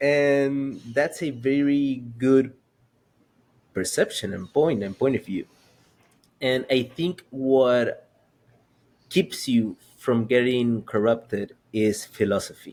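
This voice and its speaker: This man talks at a very slow pace with ordinary pitch variation. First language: Spanish. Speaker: podcast host. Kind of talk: podcast conversation.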